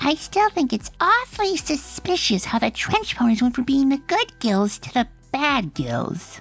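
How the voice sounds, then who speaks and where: A woman's high-pitched, put-on character voice at a moderate pace with hardly any pauses, faint music in the background. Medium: fan dub. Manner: bubbly, excitable.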